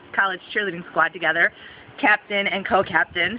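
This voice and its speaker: Over noticeable background noise, a woman with an American accent speaks at a medium pitch with ordinary pitch variation. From Southwestern Michigan, USA. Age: 30s. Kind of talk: casting video talk to camera.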